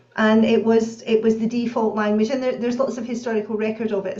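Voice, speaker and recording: A woman speaks in a Scottish accent at a fairly high pitch. Audible room echo surrounds her voice. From Scotland, Bellshill near Glasgow. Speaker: professor and author. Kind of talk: interview.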